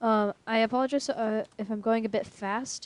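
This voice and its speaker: A woman's fairly high voice with ordinary pitch variation, dry and close with no echo. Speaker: programming tutorial creator. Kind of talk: tutorial. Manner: halting, many fillers.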